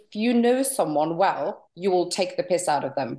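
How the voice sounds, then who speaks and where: A woman speaks in a Norwegian accent with a fairly low pitch, a dark, mellow tone and lively intonation against a quiet background. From Norway. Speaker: stand-up comedian. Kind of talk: interview. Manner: animated.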